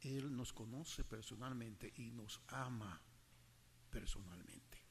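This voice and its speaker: A man talks at medium pitch. Audible room echo surrounds his voice. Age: 80s+. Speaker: preacher. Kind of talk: sermon.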